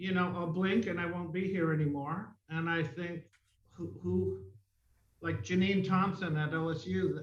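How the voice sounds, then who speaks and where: With audible room echo, a man talks at a fairly slow pace and fairly high pitch, his pitch varying in an ordinary way. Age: 60s. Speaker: mime artist. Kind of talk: interview. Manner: conversational, with many fillers.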